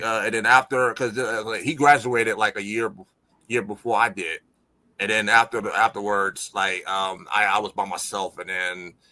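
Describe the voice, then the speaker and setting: A man speaks with an American accent at a moderate pace. His tone is bright and sharp, with ordinary pitch variation. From Buffalo, New York. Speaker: music producer. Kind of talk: interview answer.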